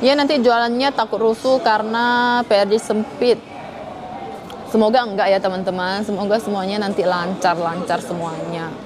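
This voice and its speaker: Through audible room echo and noticeable background noise, the voice keeps a moderate pace and ordinary pitch variation. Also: woman, fairly high pitch for a woman. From Kalimantan, Indonesia (Hakka community). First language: Hakka (speaking Indonesian). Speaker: live streamer. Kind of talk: live stream chat. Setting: airport.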